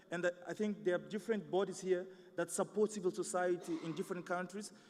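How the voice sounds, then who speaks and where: At a very fast pace, a man with a non-native accent talks in a high, flat monotone. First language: not English. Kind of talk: conference presentation. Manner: halting, many fillers.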